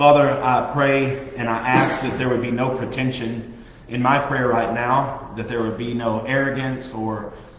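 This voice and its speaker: Against audible room echo, a man talks at a fairly slow pace in a monotone, flat intonation. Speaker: Bible study teacher. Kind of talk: sermon. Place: classroom. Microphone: webcam.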